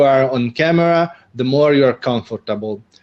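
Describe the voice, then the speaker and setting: A man speaks at a medium pitch with an Italian accent and ordinary pitch variation. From Italy. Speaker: video marketing co-host. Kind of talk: live online show chat. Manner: halting, many fillers.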